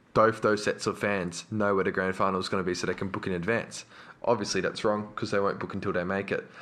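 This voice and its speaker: Here a man talks with an Australian accent. His pitch is fairly low and his pace fairly quick. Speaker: podcast co-host. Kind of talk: casual chat.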